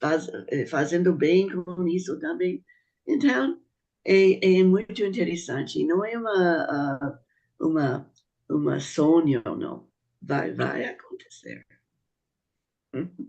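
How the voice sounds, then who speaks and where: A very slow pace with long, frequent pauses. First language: not Portuguese (speaking Portuguese). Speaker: speaker on Bahá'í teachings. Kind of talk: panel talk. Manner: halting.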